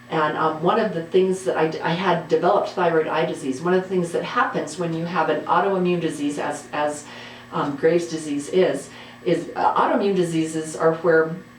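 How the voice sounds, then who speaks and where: A woman speaks at a fairly low pitch with fairly even intonation. Noticeable background noise and audible room echo surround her voice. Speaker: guitar YouTuber and high school teacher. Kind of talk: casual monologue. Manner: fast.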